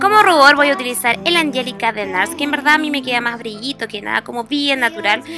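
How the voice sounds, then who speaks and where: A woman at a fairly quick pace with ordinary pitch variation, dry sound with no echo, and clear music in the background. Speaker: beauty vlogger. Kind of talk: makeup tutorial. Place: home room.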